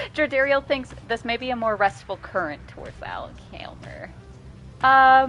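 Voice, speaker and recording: With music in the background, a woman speaks at a moderate pace, her loudness swinging widely and her speech broken by long, frequent pauses. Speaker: video game streamer. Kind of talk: live game stream with reading aloud of game text. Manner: casual, swearing, reads game text aloud.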